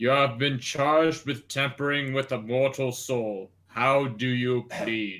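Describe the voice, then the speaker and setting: Using a put-on character voice, a man speaks at medium pitch and a fairly slow pace with hardly any pauses. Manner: solemn, accusatory.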